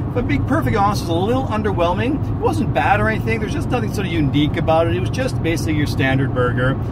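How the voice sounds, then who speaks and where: Loud background noise behind a man whose pitch varies in an ordinary way. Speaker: food reviewer. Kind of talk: casual vlog chat. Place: car. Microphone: phone near.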